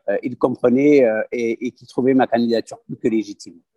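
The sound is dry and close with no echo. A man speaks at a medium pitch and a fairly slow pace with fairly even intonation. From southern France (Aveyron). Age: 30s. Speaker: parliamentary candidate. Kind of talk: interview. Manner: hesitant, with filler words.

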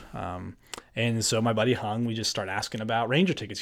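A man with an American accent speaks at a fairly quick pace in a normal speaking voice. His pitch is medium, and the recording is very clean with a silent background. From New Jersey. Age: 20s. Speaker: podcast guest. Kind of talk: casual chat.

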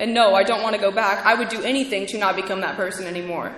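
Audible room echo and noticeable background noise surround a woman speaking at a medium pitch with ordinary pitch variation. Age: 20s. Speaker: podcast host and recovery speaker. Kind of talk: testimony at a recovery convention. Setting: stage with audience at a convention. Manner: shaky.

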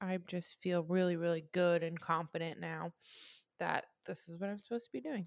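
A woman with an American accent speaks at a fairly quick pace in an unremarkable speaking voice, fairly low in pitch with fairly even intonation, in a dry, close sound with no echo. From US Midwest, southern Illinois. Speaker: podcast co-host. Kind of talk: casual chat.

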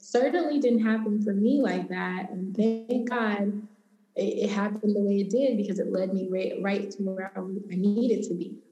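A woman with an American accent at a moderate pace, fairly even intonation, audible room echo. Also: medium pitch for a woman. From Los Angeles, US West Coast. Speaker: cannabis entrepreneur and educator. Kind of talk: interview conversation.

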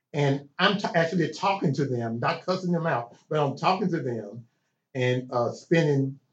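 A man with a Southern US accent, fairly high-pitched and somewhat breathy, his delivery fairly slow with lively intonation. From Chattanooga, Tennessee. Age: 60s. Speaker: art school founder. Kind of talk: casual interview. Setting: in person.

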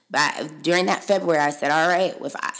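A woman rattles off her words very fast while noticeable noise fills the background. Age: 30s. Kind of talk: casual solo podcast monologue, faith testimony. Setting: home office recording. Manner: animated, chatty with many fillers.

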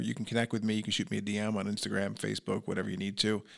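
A man with a fairly low pitch speaks with a New York accent on a very clean recording with a silent background. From New York, Long Island. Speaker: entrepreneur and business coach. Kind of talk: interview conversation. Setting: podcast studio. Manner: loud.

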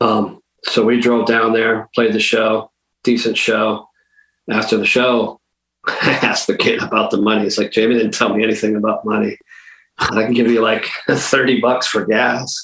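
A man with an American accent speaks at a moderate pace in a medium pitch, his loudness very even and his intonation flat and monotone. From Western Massachusetts. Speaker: hardcore punk drummer. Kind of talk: interview.

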